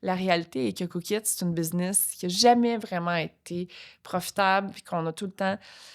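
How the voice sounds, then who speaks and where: On a very clean recording with a silent background, a woman at medium pitch shows ordinary pitch variation and big swings in loudness. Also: moderate pace. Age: 40s. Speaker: entrepreneur. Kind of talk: podcast interview. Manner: halting, many fillers.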